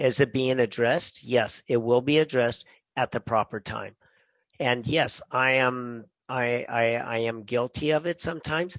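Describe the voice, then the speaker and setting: A man speaks at medium pitch and a moderate pace. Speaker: chef and podcast co-host. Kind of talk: casual chat. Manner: animated.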